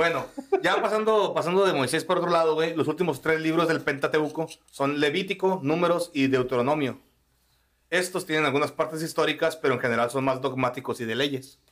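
Speaking at a fairly quick pace, the voice is an ordinary speaking voice with very even loudness and ordinary pitch variation. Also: man, fairly high pitch for a man. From Mexico, Sonora (Cananea). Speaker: podcast host. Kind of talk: casual chat.

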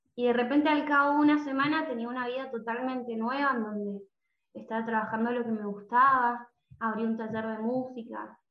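A woman speaks fairly quickly in a high pitch, keeping her intonation fairly even. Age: 20s. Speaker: music teacher and coach. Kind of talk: interview conversation.

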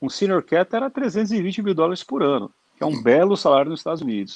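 A man talks at a fairly quick pace with very wide pitch swings, and the sound is dry and close with no echo. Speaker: airline captain. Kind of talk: casual chat. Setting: video call.

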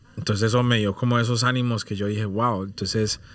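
Using fairly even intonation, a man speaks at a moderate pace with a medium pitch and a bright, sharp tone. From London, UK, with years in Colombia from age 10. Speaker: music producer and artist. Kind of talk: casual interview chat.

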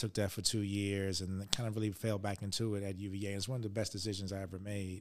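Delivered at a very fast pace with monotone, flat intonation, this voice has an American accent on a very clean recording with a silent background. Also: man. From Virginia, US (Richmond). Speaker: school superintendent. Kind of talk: interview.

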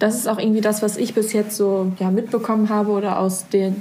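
A woman's somewhat breathy, dark and mellow voice at a medium pitch, monotone and fairly quick. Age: young. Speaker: podcast host, volunteer. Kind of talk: casual interview chat.

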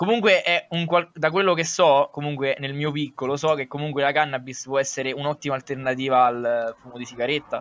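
A man with a fairly high pitch talks at a fairly quick pace, leaving hardly any pauses and showing ordinary pitch variation. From Lazio, Italy. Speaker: YouTube comedy creator. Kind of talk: casual chat. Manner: halting.

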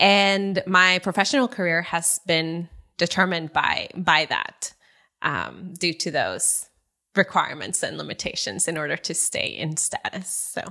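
This woman has a fairly low voice with vocal fry and a bright, sharp tone. The background is quiet. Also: ordinary pitch variation, fairly slow pace. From northern Mexico, Saltillo. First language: Spanish. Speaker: nonprofit worker and dancer. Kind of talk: interview.

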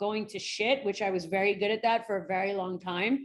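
A woman with a New York accent and fairly even intonation. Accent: New York American. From New York City. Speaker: forensic psychologist. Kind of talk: interview. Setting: remote call.

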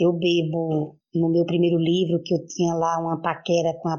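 A woman speaks at a fairly slow pace in a fairly low pitch, her intonation monotone and flat. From Brazil, Pernambuco backlands (Araripe). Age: 50s. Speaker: poet and city councillor. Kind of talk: interview.

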